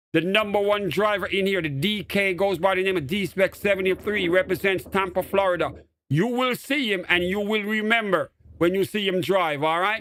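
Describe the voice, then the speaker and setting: An animated man speaks with a Jamaican accent at a moderate pace. His high pitch carries ordinary variation and a bright, sharp tone. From Jamaica, Portmore. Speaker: gaming streamer. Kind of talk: live stream commentary.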